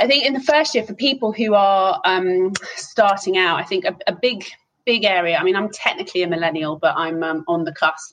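A woman's medium-pitched voice with lively intonation and a fairly quick pace. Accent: southern English. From England, Hertfordshire. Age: 30s. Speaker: business executive. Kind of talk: interview.

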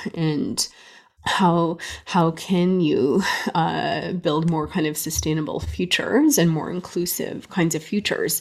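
A fairly low-pitched woman with a Canadian accent, at a fairly slow pace with ordinary pitch variation, over noticeable background noise. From Canada. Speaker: music professor. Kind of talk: interview.

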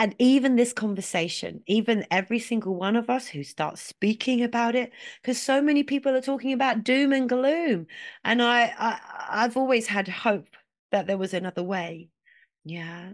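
Against a quiet background, a woman speaks at a moderate pace in a fairly high voice with lively intonation. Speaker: voice coach. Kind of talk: interview.

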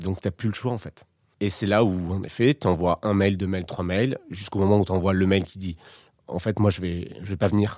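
On a very clean recording with a silent background and a dry, close sound with no echo, a man speaks at a moderate pace in a very deep, low pitch with a dark, mellow tone and fairly even intonation. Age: 30s. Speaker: former advertising professional. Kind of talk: personal testimony. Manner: halting, many fillers and repetitions.

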